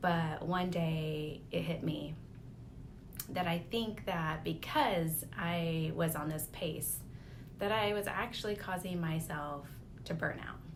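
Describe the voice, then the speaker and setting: A woman's fairly low pitch at a very slow pace, with fairly even intonation and audible room echo. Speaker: lifestyle vlogger. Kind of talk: personal reflection monologue.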